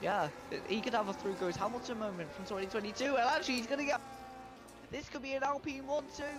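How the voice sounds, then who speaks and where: Music plays in the background as the speaker talks at a very fast pace. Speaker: sim racing commentator. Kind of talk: live commentary.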